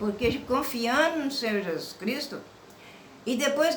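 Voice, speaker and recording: Fairly slow speech amid noticeable background noise and audible room echo. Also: woman. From Minas Gerais, Brazil. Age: 70s. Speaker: religious woman telling her life story. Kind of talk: personal testimony.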